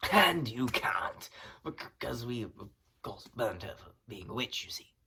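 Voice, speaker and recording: In a raspy put-on character voice, the speaker talks at a moderate pace with a low-to-middle pitch. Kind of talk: comedy sketch dialogue. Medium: stage.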